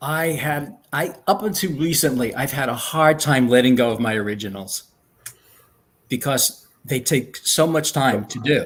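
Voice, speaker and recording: A man with a slight New York accent, a fairly high pitch, lively intonation and a fairly slow pace. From New York, Long Island. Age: 70s. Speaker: retired speech therapist and artist. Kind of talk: interview.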